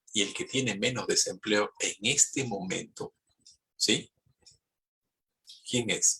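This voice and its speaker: Very slow, with long, frequent pauses, a man talks in a dry, close sound with no echo. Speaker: economist and university lecturer. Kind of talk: lecture.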